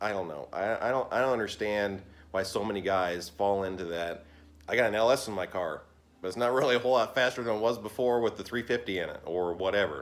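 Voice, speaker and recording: A man talks at a fairly quick pace. His pitch is fairly low, with ordinary pitch variation. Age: 40s. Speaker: car mechanic YouTuber. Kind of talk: casual vlog monologue. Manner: halting, with fillers. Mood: relaxed, mildly opinionated. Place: garage. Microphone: phone near.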